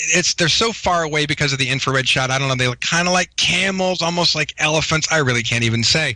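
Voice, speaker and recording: A man at a very fast pace, lively in intonation, with noticeable background noise. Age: 40s. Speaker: guest claiming Mars service. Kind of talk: interview.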